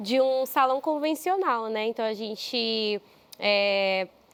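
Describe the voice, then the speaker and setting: A woman with an unremarkable speaking voice talks at a fairly high pitch with ordinary pitch variation. The sound is dry and close, with no echo. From Brazil, São Paulo. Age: 20s. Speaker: entrepreneur. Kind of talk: interview.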